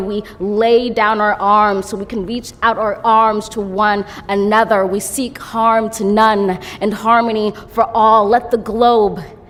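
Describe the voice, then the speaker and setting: A woman with an American accent speaks fairly slowly at a fairly high pitch over noticeable background noise. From United States. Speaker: poet. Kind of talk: poetry reading.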